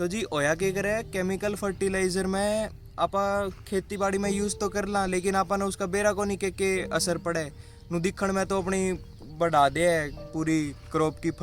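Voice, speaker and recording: A man with a Haryana accent speaks at a high pitch with fairly even intonation. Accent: Haryanvi. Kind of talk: casual explainer talk to camera.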